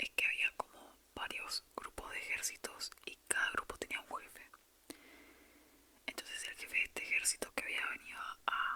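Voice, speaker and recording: A woman whispers at a moderate pace with big swings in loudness, long and frequent pauses, and noticeable background noise. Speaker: ASMR creator. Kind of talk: whispered ASMR storytelling. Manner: whispered.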